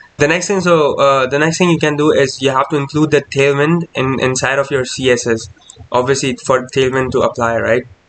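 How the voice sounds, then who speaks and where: A man talks at a fairly quick pace with fairly even intonation. His pitch is medium, and there is noticeable background noise. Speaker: programming tutorial youtuber. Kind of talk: coding tutorial. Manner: fast; casual with many fillers.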